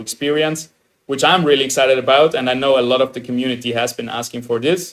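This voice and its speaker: A man of medium pitch talks fairly quickly, his pitch varying in an ordinary way. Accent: slight Austrian. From Austria. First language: German. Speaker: game streamer. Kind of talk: live stream reaction commentary. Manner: animated.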